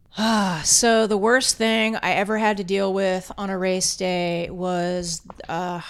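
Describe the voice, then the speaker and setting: Her American accent comes with a plain, everyday voice at a medium pitch. The woman keeps her intonation fairly even. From South Florida. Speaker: race director and DJ. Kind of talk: casual chat. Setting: studio.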